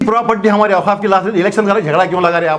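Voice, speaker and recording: An animated, high-pitched man with ordinary pitch variation against noticeable background noise. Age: 70s. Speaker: doctor and former mosque committee president. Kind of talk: press statement.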